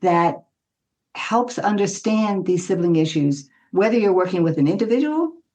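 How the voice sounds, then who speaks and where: A woman speaks with an American accent at a moderate pace. Her intonation is lively. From US South. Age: 80s+. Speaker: family therapist. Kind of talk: interview.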